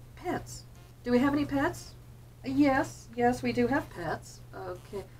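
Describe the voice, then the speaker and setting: Very slow speech with an American accent over noticeable background noise. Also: woman. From New Jersey, US. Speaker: hobby vlogger, medical-system tech worker. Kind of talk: casual chat. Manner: chatty, many filler ums.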